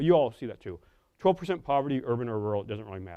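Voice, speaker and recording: This is a man speaking. He has a Midwestern American accent. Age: 50s. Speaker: professor. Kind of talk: lecture. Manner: halting, many fillers.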